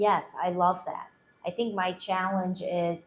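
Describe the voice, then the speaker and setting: A somewhat breathy woman's voice of medium pitch, fairly slow in pace, with fairly even intonation. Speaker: entrepreneur pitching coaching business. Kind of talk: business pitch and feedback discussion.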